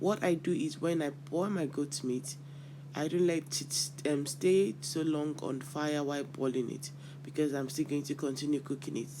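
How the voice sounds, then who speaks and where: Speaking at a moderate pace, a man uses fairly even intonation and a fairly high pitch. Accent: Nigerian. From Nigeria, Yoruba. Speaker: cooking channel host. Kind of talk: cooking tutorial. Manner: casual, with hesitations.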